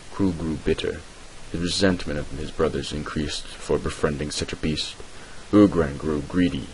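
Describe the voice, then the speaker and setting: A man's voice, very deep and low, moves along fairly quickly with fairly even intonation, noticeable background noise behind it. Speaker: amateur lore narrator. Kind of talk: read fantasy lore narration.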